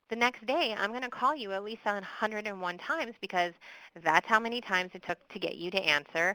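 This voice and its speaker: The tone is bright and sharp, with a Midwestern accent. Pitch rises and falls in an ordinary way. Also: woman. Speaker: victim services expert presenter. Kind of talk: webinar presentation with Q&A. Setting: online webinar.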